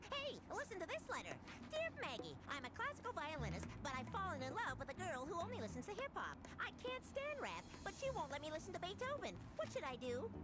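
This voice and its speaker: Over loud background noise, a cartoonish character voice rattles along at a fairly quick pace. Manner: cheerful.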